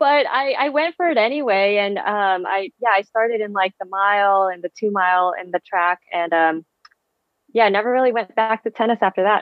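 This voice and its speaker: A woman speaks with a Californian accent at a fairly quick pace. Her pitch is medium, with ordinary variation. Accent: Californian American. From San Francisco Bay Area, US. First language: Vietnamese. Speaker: physical therapist and amateur marathon runner. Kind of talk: casual interview chat.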